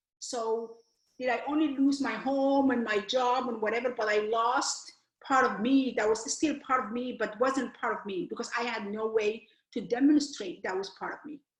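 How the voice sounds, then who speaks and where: A woman with a Somali accent speaks at a moderate pace in a high pitch, with ordinary pitch variation. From Somalia. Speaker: author and educator. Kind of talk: interview. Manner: halting.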